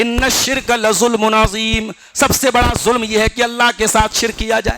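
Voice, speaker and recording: A man with a high voice speaks in a raised, projected way. His intonation is monotone and flat, his loudness very even. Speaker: Islamic scholar giving Quran commentary. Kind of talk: Quran tafseer sermon.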